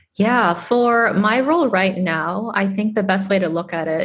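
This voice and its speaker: Somewhat breathy and medium in pitch, a woman speaks with an American accent. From Boston, Massachusetts. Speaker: tech startup co-founder and CTO. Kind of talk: interview.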